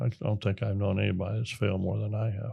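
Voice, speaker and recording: Somewhat breathy and dark, mellow in tone, a man with an American accent speaks at a fairly low pitch with fairly even intonation over a quiet background. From small-town America. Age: 70s. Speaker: military veteran and entrepreneur. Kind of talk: interview. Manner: halting, with fillers and restarts.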